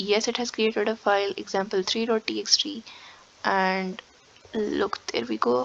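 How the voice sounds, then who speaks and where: Against noticeable background noise, a woman speaks at a medium pitch and moderate pace with lively intonation. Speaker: programming tutor. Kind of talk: tutorial. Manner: casual, with fillers.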